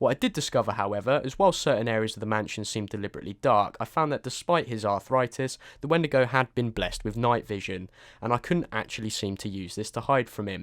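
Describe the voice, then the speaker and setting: Recorded very cleanly against a silent background, a man with a British accent talks very fast at a medium pitch with ordinary pitch variation. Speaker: game reviewer. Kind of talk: scripted review.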